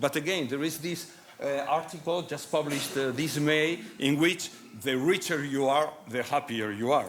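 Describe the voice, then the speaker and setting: A man's fairly high voice at a moderate pace, with ordinary pitch variation, audible room echo and noticeable background noise. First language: Spanish or Basque. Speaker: medical doctor, conference speaker. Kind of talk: conference talk. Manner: halting, many fillers and restarts.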